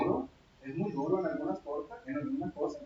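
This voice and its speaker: A man's voice with very wide swings in pitch. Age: 60s. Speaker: pastor. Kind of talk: sermon.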